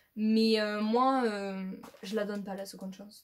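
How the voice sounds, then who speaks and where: A woman's very slow, monotone delivery with flat intonation. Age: 20s. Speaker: YouTuber. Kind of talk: casual vlog talk to camera. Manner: halting, many fillers.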